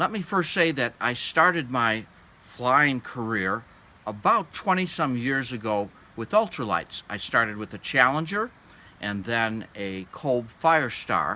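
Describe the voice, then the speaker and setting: A man speaks fairly slowly with lively intonation. His tone is bright and sharp. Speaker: aviation hobby instructor. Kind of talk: tutorial. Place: forest.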